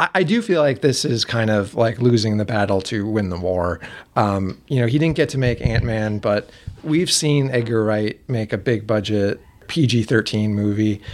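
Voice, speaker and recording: A man speaks in a plain, everyday voice, pitched in the medium range. His pace is moderate, and his pitch variation is ordinary. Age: 40s. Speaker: film discussion group organizer. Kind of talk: casual chat.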